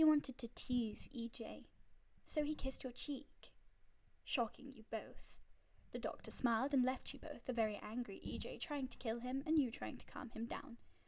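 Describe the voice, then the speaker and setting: Loudness swings widely throughout. The intonation stays fairly even. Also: woman. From northern England, Yorkshire. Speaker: streamer. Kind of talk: live stream, reading fanfiction aloud.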